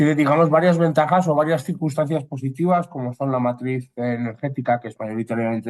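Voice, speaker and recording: This is a man speaking. He has a Spanish accent. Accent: Spanish (Spain). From Spain. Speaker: consultant, webinar moderator. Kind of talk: webinar discussion.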